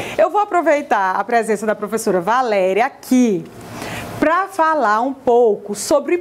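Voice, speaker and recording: At a fairly slow pace, a woman speaks in an animated tone with very wide pitch swings. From Piauí, Brazil. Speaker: TV presenter. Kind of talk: TV interview. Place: studio. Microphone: lapel.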